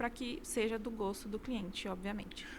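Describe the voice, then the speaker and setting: A woman talks at a moderate pace in a fairly high pitch. Noticeable background noise runs behind her. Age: 20s. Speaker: architect, interior designer. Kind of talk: interview. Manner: hesitant, many fillers.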